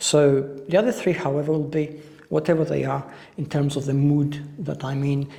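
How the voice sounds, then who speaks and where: An unremarkable speaking voice from a man, fairly high-pitched, with fairly even intonation and a moderate pace. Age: 50s. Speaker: fitness instructor. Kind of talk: casual talk to camera.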